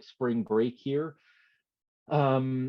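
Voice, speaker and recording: Intonation is fairly even. Speech moves at a very slow pace. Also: man. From Canada, Quebec (Montreal area). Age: 20s. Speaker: former hockey player turned online creator. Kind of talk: podcast interview. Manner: many fillers and restarts.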